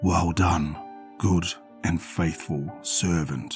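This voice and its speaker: Over clear music in the background, a man uses a put-on character voice that is very deep, low, guttural and hissing, speaking at a fairly slow pace. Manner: sadistic, mocking.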